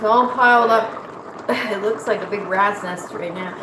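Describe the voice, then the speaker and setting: Woman at a medium pitch, speaking at a fairly slow pace, with audible room echo and noticeable background noise. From Nova Scotia, Canada. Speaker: cooking vlogger. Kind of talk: casual livestream chat while cooking.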